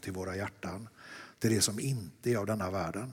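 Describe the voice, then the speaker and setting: The voice is somewhat breathy and has ordinary pitch variation. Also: man. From Sweden, Lerum near Gothenburg. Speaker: artist. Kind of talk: dialogue sermon in church.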